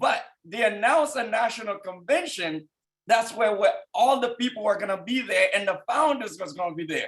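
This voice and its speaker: This man speaks with a strong Haitian accent and a high pitch. His intonation is lively and his pace moderate. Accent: thick Haitian. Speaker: business executive and team leader. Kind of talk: motivational testimony on a conference call. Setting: conference call.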